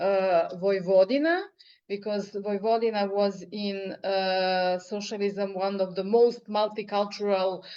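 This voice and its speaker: A woman with a Serbian accent speaks fairly slowly at a medium pitch, her intonation fairly even. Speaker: poet. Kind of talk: interview. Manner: halting.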